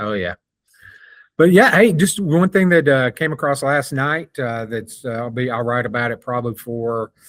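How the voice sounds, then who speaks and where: On a very clean recording with a silent background and a dry, close sound with no echo, a man talks in a plain, everyday voice at medium pitch, a moderate pace and with lively intonation. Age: 60s. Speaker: sports journalist. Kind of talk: casual sports talk.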